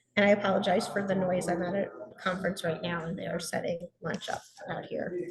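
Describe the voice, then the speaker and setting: The speech comes at a very fast pace with monotone, flat intonation. Audible room echo can be heard. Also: woman, medium pitch for a woman. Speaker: contest support coordinator. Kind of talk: webinar presentation. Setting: at a conference, video call.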